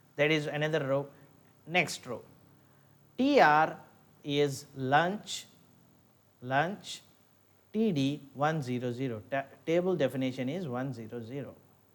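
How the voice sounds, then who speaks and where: A man with a fairly high pitch speaks at a fairly slow pace, taking long, frequent pauses. Audible room echo surrounds his voice. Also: ordinary pitch variation. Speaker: lecturer. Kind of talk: lecture.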